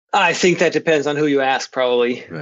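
A man with a Swedish accent speaks at a fairly high pitch. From Sweden. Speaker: economics professor. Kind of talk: interview. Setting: remote call.

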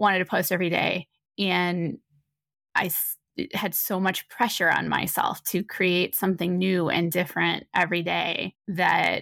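A woman speaks at a medium pitch and a fairly slow pace, with vocal fry. The recording is very clean, with a silent background and a dry, close sound with no echo. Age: 40s. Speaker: photographer. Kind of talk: interview conversation.

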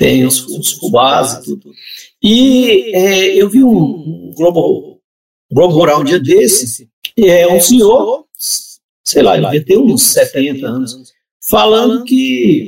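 Long, frequent pauses break up a man's very slow speech, which has a high pitch and very wide pitch swings. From Brazil, southern Pará (Amazon region). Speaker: writer. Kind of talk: casual chat. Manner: halting, repeats words.

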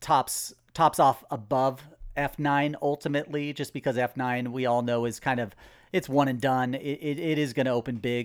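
A man with a plain, everyday voice at medium pitch, fairly slow pace and fairly even intonation, on a very clean recording with a silent background. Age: 40s. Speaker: box office analyst. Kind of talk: casual chat.

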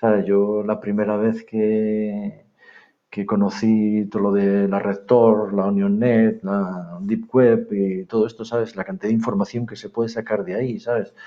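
A man speaks with a Castilian accent. His fairly low voice stays monotone and flat. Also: fairly slow pace. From northern Spain, Palencia. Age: 50s. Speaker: private security director. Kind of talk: interview. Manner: halting.

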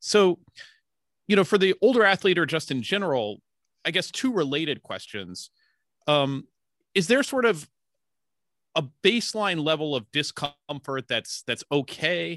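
A man's fairly high voice with very wide pitch swings, a fairly slow pace, and long, frequent pauses. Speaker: podcast co-interviewer. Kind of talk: casual interview.

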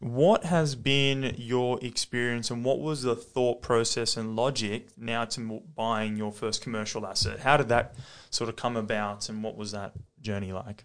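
A man's medium-pitched voice with an Australian accent, moderate pace and fairly even intonation against a quiet background. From Australia, Western Sydney. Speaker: podcast host, property investor. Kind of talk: casual interview chat.

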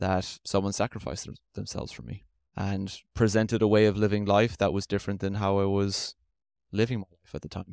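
A man with an Irish accent talks at a fairly quick pace and a fairly low pitch. The recording is very clean, with a silent background and a dry, close sound with no echo. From Ireland, Limerick. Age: 30s. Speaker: automation integrator, podcast guest. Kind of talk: interview, personal faith testimony.

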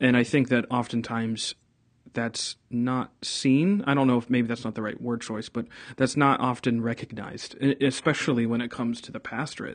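At a moderate pace, a man speaks in a normal speaking voice at medium pitch, with fairly even intonation. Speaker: pastor and podcast host. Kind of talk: casual interview conversation.

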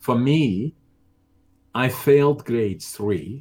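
The recording is very clean, with a silent background. A man speaks with a Dutch accent. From Netherlands. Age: 70s. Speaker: business owner and bodybuilder. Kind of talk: interview. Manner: halting.

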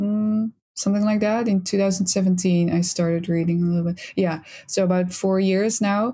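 A woman with a Dutch accent speaks at a medium pitch and a moderate pace, sounding somewhat breathy. Her intonation stays fairly even, and the recording is very clean with a silent background. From Netherlands. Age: 20s. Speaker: psychology student. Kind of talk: casual chat.

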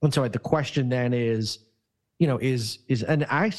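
A man's ordinary speaking voice, medium in pitch with ordinary pitch variation, at a moderate pace over a quiet background. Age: 50s. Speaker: employment lawyer. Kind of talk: casual interview.

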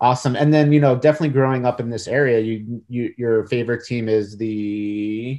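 Against a quiet background, a man talks at a fairly quick pace with hardly any pauses, using an ordinary speaking voice at medium pitch with fairly even intonation. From New York. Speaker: podcast interviewer. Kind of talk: casual interview.

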